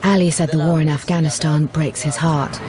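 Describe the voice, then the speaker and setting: Over music in the background, a woman speaks in a serious tone at a moderate pace, the sound dry with no echo. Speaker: television reporter. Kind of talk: documentary narration with on-location reporting. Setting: outdoors on location in Kabul. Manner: serious, sombre, measured; urgent, conversational reporting on the spot. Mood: upset, emotional.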